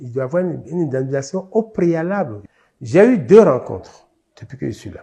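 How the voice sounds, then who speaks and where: A man talks with a fairly high pitch and very wide pitch swings. His loudness rises and falls in big swings. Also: moderate pace. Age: 70s. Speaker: expropriated landowner. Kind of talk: testimony.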